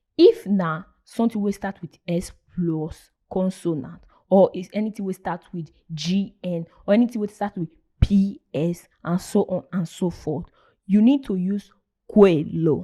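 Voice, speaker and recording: In a dark, mellow tone, a woman speaks at a fairly slow pace with a somewhat breathy quality and ordinary pitch variation. Her loudness swings widely in a dry, close sound with no echo. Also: medium pitch for a woman. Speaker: language teacher. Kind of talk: casual lesson to camera.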